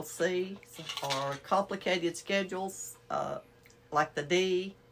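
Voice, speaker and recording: Speaking with a Southern US accent, a woman talks at medium pitch and a very slow pace. Her pitch varies in an ordinary way, and there is noticeable background noise. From Alabama. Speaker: activity coordinator. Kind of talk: casual chat.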